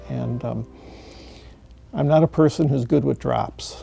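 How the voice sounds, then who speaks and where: Music plays in the background as a man talks with an American accent. His pitch swings very widely. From US Midwest, Michigan. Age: 60s. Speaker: patient. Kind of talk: testimony. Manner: hesitant, many fillers.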